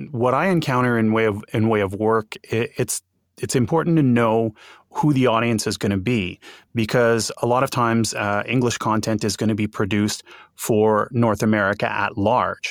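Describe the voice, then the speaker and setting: In a Montreal accent, a man speaks at a moderate pace and medium pitch. The sound is dry and close, with no echo. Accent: English-speaking Montreal Canadian. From Montreal, Quebec. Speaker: bilingual voice actor. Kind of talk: interview conversation.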